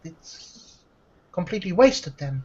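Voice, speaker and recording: Her pace is fairly slow. The woman's voice is somewhat breathy. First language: not English. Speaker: miniature painter and tutorial maker. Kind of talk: casual interview chat. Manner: hesitant, many fillers.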